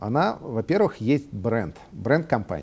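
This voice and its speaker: Speaking very slowly, a man with a medium pitch and a dark, mellow tone uses lively intonation against a quiet background. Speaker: CEO of a software company. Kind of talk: interview. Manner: hesitant, many filler sounds.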